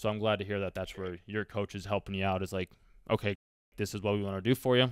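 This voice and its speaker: A man speaks very fast in a fairly low, flat monotone with an American accent. The sound is dry with no echo, over a quiet background. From Colorado. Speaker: student doing market research cold call; host interviewing a guest. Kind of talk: casual phone interview. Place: home room.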